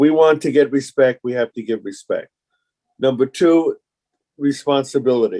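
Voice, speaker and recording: A man's moderate-paced, medium-pitched voice in a dark, mellow tone with an American accent, fairly even intonation, and a dry, close sound with no echo. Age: 70s. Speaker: veteran communist activist. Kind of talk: group discussion.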